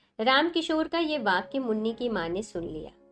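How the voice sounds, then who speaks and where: Very wide pitch swings with music in the background. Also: woman. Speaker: story narrator. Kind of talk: Hindi story narration / audiobook.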